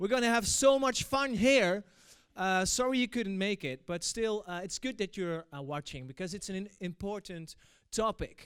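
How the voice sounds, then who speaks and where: At a moderate pace, a man with a Dutch accent speaks in a high voice with lively intonation, in a very clean recording with a silent background. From Netherlands. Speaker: event moderator. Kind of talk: opening speech. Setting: stage with audience. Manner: hesitant, many fillers.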